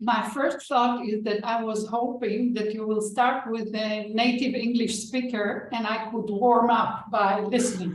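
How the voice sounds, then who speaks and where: With a non-native accent, a woman talks fairly slowly at a fairly high pitch in a monotone, flat delivery with hardly any pauses, over noticeable background noise and audible room echo. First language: not English. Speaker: author and organization development practitioner. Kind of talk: online panel discussion.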